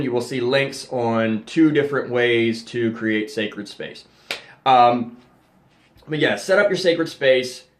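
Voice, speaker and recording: A man speaking at a fairly slow pace with ordinary pitch variation, plus audible room echo. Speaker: occult youtuber teaching ritual magick. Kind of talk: tutorial. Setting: home temple room. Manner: casual with many fillers.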